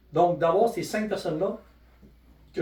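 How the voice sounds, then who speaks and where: A man speaks in a Quebec accent with ordinary pitch variation. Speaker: network marketing presenter. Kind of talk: sales pitch. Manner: fast; animated.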